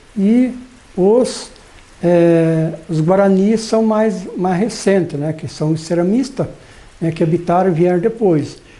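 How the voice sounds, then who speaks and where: Speaking at a very slow pace, the man has a high pitch. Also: ordinary pitch variation. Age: 60s. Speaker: farmer. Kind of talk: documentary interview. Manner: halting, frequent fillers.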